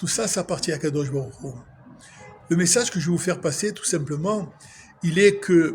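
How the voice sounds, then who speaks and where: Ordinary pitch variation shapes the high voice of a man as he talks. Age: 60s. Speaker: religious vlogger. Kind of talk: spiritual monologue. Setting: outdoors at sunset. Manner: emotional, emphatic.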